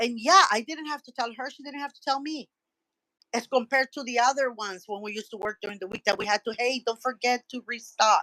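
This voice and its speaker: A bright, sharp voice speaks very fast, with big swings in loudness. Pitch variation is ordinary, and the sound is dry and close with no echo. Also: woman, high pitch for a woman. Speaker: podcast guest, medical worker. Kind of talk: casual chat, personal testimony.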